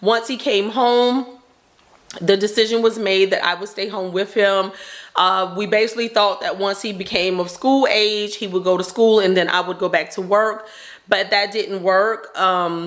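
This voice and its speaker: A woman's medium-pitched voice at a moderate pace, fairly even in intonation, with a Southern US accent and noticeable background noise. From North Carolina. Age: 40s. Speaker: stay-at-home mom vlogger. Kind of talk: casual chat.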